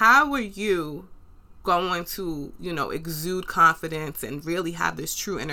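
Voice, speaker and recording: In a New York accent, a woman speaks at a fairly slow pace with a fairly low pitch, a bright, sharp tone and ordinary pitch variation, in a very clean recording with a silent background. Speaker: podcast host. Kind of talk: solo podcast monologue, motivational talk. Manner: animated, conversational.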